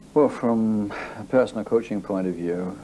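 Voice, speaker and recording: With a Scottish accent, a man speaks at a fairly slow pace with ordinary pitch variation. Noticeable background noise is present. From Scotland, Edinburgh area. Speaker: athletics coach. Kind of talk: interview.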